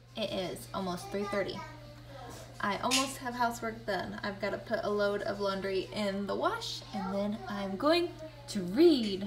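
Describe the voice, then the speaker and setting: A woman at a fairly slow pace, with noticeable background noise behind her. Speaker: book vlogger. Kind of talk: casual reading vlog to camera.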